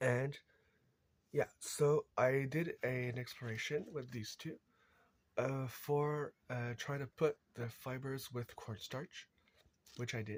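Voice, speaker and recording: Speaking at a very slow pace with long, frequent pauses, a man with a medium pitch keeps his intonation fairly even and sounds somewhat breathy. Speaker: crafter, video creator. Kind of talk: tutorial demonstration. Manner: halting, many fillers.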